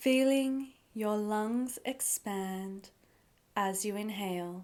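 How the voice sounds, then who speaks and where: The speech has a calm tone, a very slow pace, and ordinary pitch variation. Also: woman, fairly high pitch for a woman. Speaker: meditation guide. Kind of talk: guided meditation. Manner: slow, calm.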